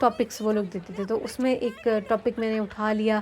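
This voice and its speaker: Her tone is animated. A woman is heard over noticeable background noise. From Balochistan, Pakistan. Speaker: vlogger, academic speaker. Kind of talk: casual storytelling vlog. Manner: animated, code-switching Hindi-Urdu and English; hesitant fillers.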